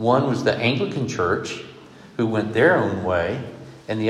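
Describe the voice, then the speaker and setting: With an American accent, a man speaks at a moderate pace and medium pitch over noticeable background noise. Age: 60s. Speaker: preacher. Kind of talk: sermon. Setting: stage with audience.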